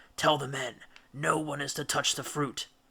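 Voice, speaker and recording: A man's put-on character voice, fairly high-pitched and raspy, with monotone, flat intonation at a moderate pace. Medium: read story. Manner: authoritative, commanding.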